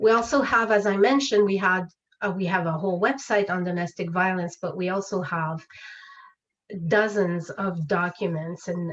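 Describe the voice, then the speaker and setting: With a French accent, a woman speaks at a moderate pace. Her pitch is fairly low and varies in an ordinary way. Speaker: legal education presenter. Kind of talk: webinar presentation. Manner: hesitant, many fillers.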